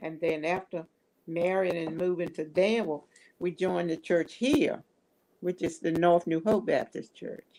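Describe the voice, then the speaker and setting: The voice has a dark, mellow tone, fairly even intonation and an American accent. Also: woman, fairly low pitch for a woman, moderate pace. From Virginia. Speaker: church fundraising leader. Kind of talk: interview.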